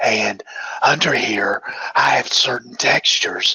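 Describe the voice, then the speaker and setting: Someone whispers at a very slow pace. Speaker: software trainer. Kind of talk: webinar tutorial. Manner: casual, hesitant with fillers.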